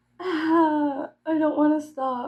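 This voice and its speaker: The background stays quiet. A woman talks in an American accent. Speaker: YouTuber. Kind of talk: casual chat.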